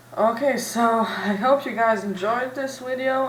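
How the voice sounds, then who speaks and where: A woman with a non-native accent speaks at a fairly slow pace with fairly even intonation, amid audible room echo and noticeable background noise. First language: not English. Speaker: tech tutorial youtuber. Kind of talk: tutorial. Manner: halting.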